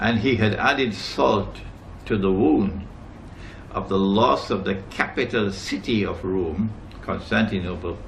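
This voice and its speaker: A man speaks at a fairly slow pace with ordinary pitch variation. Noticeable background noise and audible room echo come through. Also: fairly low pitch for a man. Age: 70s. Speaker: Islamic scholar. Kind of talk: lecture. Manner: emphatic.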